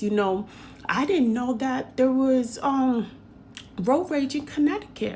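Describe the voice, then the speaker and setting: The voice moves through very wide pitch swings against noticeable background noise. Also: woman. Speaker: hairstylist and vlogger. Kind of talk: casual vlog monologue.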